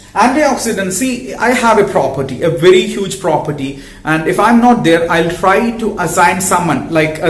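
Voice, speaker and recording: A man with a non-native accent speaks at a high pitch, with noticeable background noise and audible room echo. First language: not English. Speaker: health educator and social worker. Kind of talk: educational talk to camera. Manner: halting.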